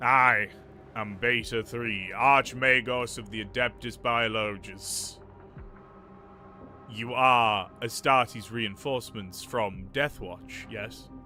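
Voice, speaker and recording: Using a put-on character voice, a man speaks at a very slow pace in a booming, robotic tone at medium pitch, with clear background noise behind him. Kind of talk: formal.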